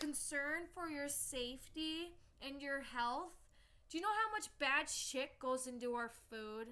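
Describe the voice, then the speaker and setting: A woman shouting in a raised, projected voice, high-pitched and bright and sharp in tone, fairly slow with lively intonation. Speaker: vlogger. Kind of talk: angry rant to camera. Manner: loud, yelling.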